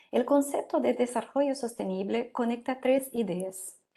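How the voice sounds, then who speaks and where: With a Portuguese accent, a woman talks in a fairly high pitch with a dark, mellow tone. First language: Portuguese (speaking Spanish). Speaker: law professor. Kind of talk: lecture. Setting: video call.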